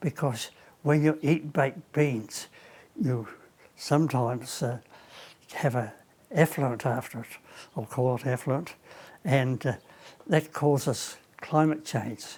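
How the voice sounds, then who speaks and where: A man talks with a somewhat breathy voice and ordinary pitch variation. Long pauses come often. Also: fairly high pitch for a man, fairly slow pace. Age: 90s. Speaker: elderly man demonstrating exercises. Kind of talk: casual exercise demonstration. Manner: halting.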